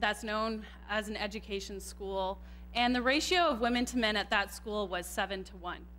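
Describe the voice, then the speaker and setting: With a Canadian accent, a woman speaks at a moderate pace over audible room echo. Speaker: computer scientist and tech manager. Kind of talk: conference talk. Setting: stage with audience, microphone. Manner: loud.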